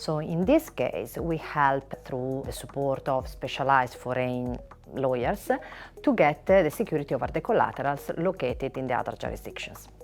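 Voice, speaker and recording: In an Italian accent, a woman speaks at a moderate pace. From Italy. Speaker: finance lawyer. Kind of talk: interview. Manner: hesitant with filler words.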